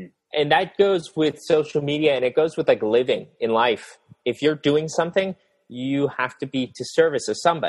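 In a quiet background, a man with an American accent and a fairly high pitch speaks at a moderate pace with a normal speaking voice and ordinary pitch variation. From rural US. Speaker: fashion YouTuber. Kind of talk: casual interview chat.

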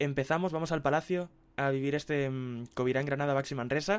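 A plain, everyday voice from a man, fairly high in pitch, with ordinary pitch variation. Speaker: sports editor. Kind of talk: casual chat.

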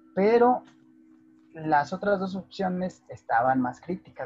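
A man with a Mexican accent at a fairly slow pace. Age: 30s. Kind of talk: interview.

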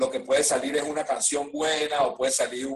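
Speaking at a moderate pace, a man uses a normal speaking voice pitched fairly high, with ordinary pitch variation. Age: 40s. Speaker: rapper. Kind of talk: casual chat.

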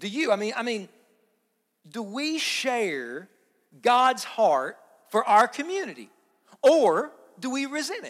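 An animated tone in an Appalachian accent, fairly slow and broken by long, frequent pauses. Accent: Appalachian Kentucky. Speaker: pastor. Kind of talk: sermon. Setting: church service with congregation. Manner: animated, emphatic.

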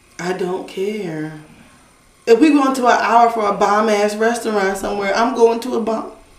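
A woman's fairly high voice with ordinary pitch variation, amid noticeable background noise and audible room echo. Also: moderate pace. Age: 20s. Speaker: podcast co-host. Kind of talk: casual chat.

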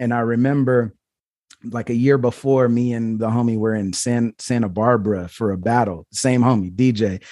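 In an American accent, a man with an ordinary speaking voice talks at a moderate pace and medium pitch with fairly even intonation on a very clean recording with a silent background. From US Pacific Northwest, Portland, Oregon. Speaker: rapper. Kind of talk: casual chat.

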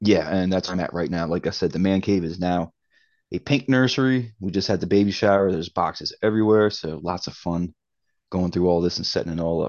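Here a man speaks with a Baltimore accent at a fairly quick pace. His pitch is very deep and low. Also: ordinary pitch variation. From Baltimore, Maryland. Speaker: comic collector guest host. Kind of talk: casual chat.

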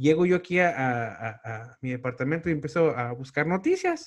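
The man's voice sits at a fairly high pitch. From Tijuana, Mexico. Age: 40s. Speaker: podcast host and stand-up comedian. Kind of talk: casual interview chat.

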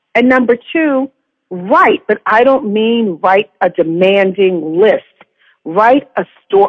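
Woman with an American accent and lively intonation. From New York. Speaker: podcast guest. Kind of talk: casual chat.

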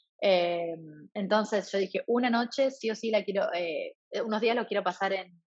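A woman speaks at a moderate pace in an ordinary speaking voice. Her pitch is medium, with ordinary variation. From Argentina, rural Santa Fe province. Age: 20s. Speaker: traveler and translator. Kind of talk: casual interview.

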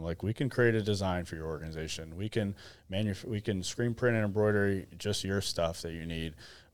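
With an American accent, a man speaks in a plain, everyday voice, fairly low in pitch with ordinary pitch variation, at a fairly quick pace. The recording is very clean, the background silent. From Arizona. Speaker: CEO and co-founder of a clothing brand. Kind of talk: casual interview chat. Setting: studio.

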